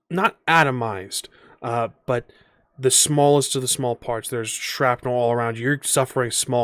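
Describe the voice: Straightforward reading aloud, intonation fairly even.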